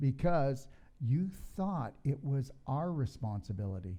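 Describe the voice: A man's dark, mellow voice at a medium pitch, with big pitch swings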